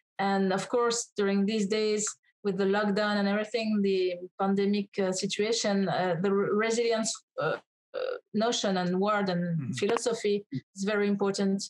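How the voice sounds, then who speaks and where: A woman with a French accent at a moderate pace, monotone, flat intonation and very even loudness, over a quiet background. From France. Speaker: author and personal development coach; personal development coach. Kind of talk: interview. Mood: warm, earnest. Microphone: webcam.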